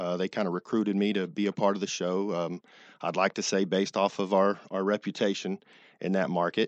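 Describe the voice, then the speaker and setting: A man with a very deep, low pitch speaks at a fairly quick pace in an American accent. His intonation stays monotone and flat. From Texas (Dallas). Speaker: flooring store owner. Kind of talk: radio interview.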